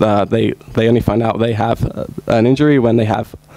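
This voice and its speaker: Music plays in the background as a man speaks at a moderate pace. His voice is fairly low, with fairly even intonation. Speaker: sports injury researcher. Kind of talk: conference presentation. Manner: halting, many fillers.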